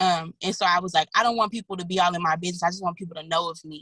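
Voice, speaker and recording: Heard dry and close with no echo, a woman at medium pitch speaks at a very fast pace in a bright, sharp tone. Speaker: singer. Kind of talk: interview. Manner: casual, filler-heavy.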